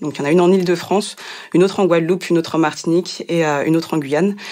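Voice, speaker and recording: A woman speaks at a very fast pace in a fairly low, monotone voice with flat intonation over noticeable background noise. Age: 30s. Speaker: nonprofit regional delegate. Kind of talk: podcast interview. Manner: hesitant, many fillers.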